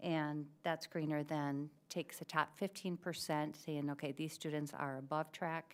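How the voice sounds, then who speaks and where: On a very clean recording with a silent background, a woman with a very deep, low voice speaks at a moderate pace in a monotone, flat delivery. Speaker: school administrator presenting to board. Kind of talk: presentation at school board meeting.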